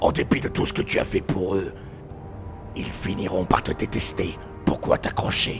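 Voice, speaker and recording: A man performs a put-on character voice at a moderate pace. Clear background noise can be heard. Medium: dub. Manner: taunting, theatrical.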